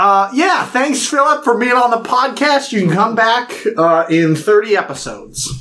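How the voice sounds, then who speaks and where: Against noticeable background noise, a man projects his voice at an extremely high pitch, with lively intonation, very even loudness and a moderate pace. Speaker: podcast co-host. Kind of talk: casual chat.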